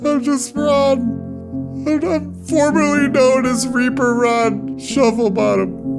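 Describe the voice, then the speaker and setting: In a put-on character voice, a female-sounding speaker drawls at a very slow pace while loud music plays in the background. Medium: audio drama. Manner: stammering, panicky.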